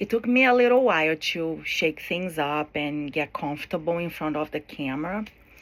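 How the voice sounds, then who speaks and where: At a moderate pace, the voice moves with lively intonation and hardly any pauses. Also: woman, fairly low pitch for a woman. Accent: non-native. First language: not English. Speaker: college student. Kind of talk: class speech. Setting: recorded to camera. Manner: hesitant, with fillers.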